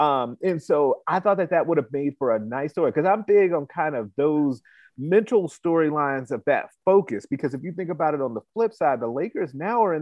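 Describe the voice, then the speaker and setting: Speaking at a fairly quick pace with an American accent, a man uses an ordinary speaking voice with a fairly high pitch and lively intonation. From Chicago. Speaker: sports podcast host. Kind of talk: casual sports talk chat.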